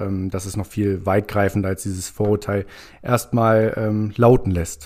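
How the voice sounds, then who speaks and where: On a very clean recording with a silent background, a man's dark, mellow voice stays fairly low and monotone, with flat intonation, at a moderate pace. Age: 20s. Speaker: tax consultancy employee. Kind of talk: casual explanatory chat.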